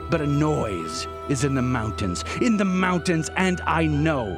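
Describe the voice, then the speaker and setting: Dramatic, fairly slow speech from a man at medium pitch, with very wide pitch swings and music in the background. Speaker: radio host. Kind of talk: dramatic poetry reading.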